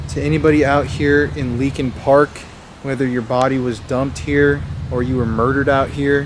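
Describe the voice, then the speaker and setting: Quiet speech from a man at a moderate pace, fairly even in intonation, with noticeable background noise and audible room echo. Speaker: paranormal investigator vlogger. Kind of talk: on-location ghost hunt vlog. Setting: outdoors in park at night. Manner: quiet, lowered voice.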